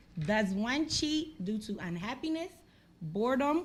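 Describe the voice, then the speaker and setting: Very wide pitch swings at a fairly slow pace, with audible room echo. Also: woman. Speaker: podcast host. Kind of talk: casual chat.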